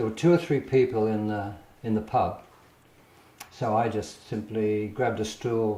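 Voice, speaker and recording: Fairly slow delivery, audible echo from the room, and ordinary variation in pitch. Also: man. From Australia. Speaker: painter. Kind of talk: casual storytelling interview. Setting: artist's studio. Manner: halting, with repetitions.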